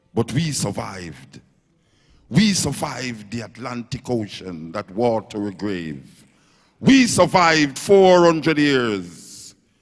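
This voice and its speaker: A man with a Jamaican accent, medium pitch, very wide pitch swings and a very slow pace. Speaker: dub poet. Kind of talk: poetry performance. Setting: live stage. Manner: rhythmic, forceful.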